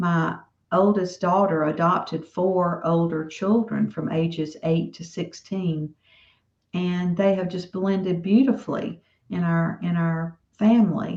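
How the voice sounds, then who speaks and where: A fairly low-pitched woman with a Southern US accent, fairly slow and fairly even in intonation. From US South. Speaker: author. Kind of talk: interview.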